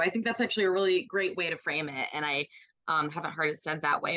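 The recording of this woman is dry and close, with no echo. Her tone is bright and sharp. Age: 20s. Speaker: reproductive justice advocate. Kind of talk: interview.

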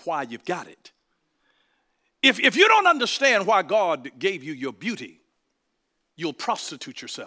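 At a moderate pace, a man speaks with a raised, projected voice, high pitch, an animated tone and a bright, sharp quality. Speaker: pastor. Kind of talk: sermon.

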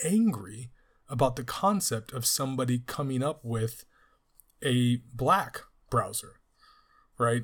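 On a very clean recording with a silent background, a man speaks in a plain, everyday voice at a medium pitch with ordinary pitch variation. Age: 30s. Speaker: podcast host and teacher. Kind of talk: solo book review podcast.

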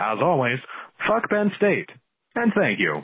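A man's high-pitched voice at a fairly slow pace, with very wide pitch swings. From Canada. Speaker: podcast caller leaving a voicemail. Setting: phone voicemail. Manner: excellent, crisp diction; announcer-style radio delivery.

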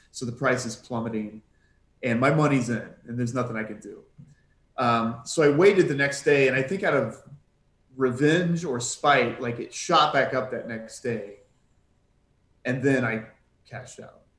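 A man speaks with ordinary pitch variation and big swings in loudness, leaving long, frequent pauses. Audible room echo surrounds his voice. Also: medium pitch for a man, moderate pace. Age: 30s. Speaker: retail stock trader. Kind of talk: casual chat. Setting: video call.

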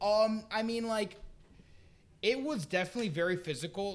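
A man speaks at a fairly slow pace in an American accent. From Miami, Florida. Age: 20s. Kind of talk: casual chat. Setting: house party.

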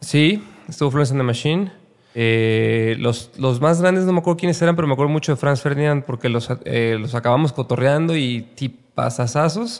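A man's ordinary speaking voice, pitched fairly high, moving at a moderate pace with lively intonation. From Mexico, Guadalajara (Jalisco). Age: 30s. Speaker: music manager. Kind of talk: casual interview chat.

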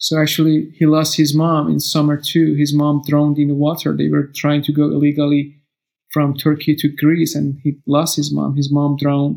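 A man with a Persian accent speaks at a fairly high pitch and a moderate pace. His intonation is monotone and flat, and his loudness stays very even. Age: 30s. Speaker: refugee. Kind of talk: interview testimony. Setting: video call.

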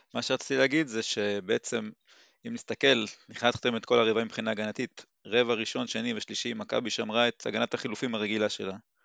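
Against a quiet background, a man with medium pitch and vocal fry speaks at a moderate pace with fairly even intonation, the sound dry and close with no echo. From Israel, moshav in the south. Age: 40s. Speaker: basketball fan. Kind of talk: casual chat.

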